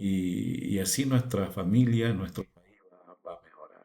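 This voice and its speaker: With a dark, mellow tone, a man talks at a very slow pace and ordinary pitch variation. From Bolivia, Beni lowlands. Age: 60s. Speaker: fish farmer, former broadcaster. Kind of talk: testimony. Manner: halting.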